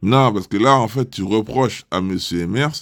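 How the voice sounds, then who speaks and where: The recording is very clean with a silent background, and the man on it talks with lively intonation. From French Antilles. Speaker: roleplay game server staff member. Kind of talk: casual argument in voice chat. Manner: hesitant, repetitive.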